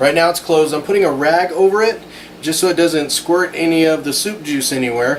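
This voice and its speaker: A man with a fairly high pitch speaks at a fairly quick pace while noticeable background noise carries on behind him. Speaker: cooking channel host. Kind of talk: cooking tutorial. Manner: fast.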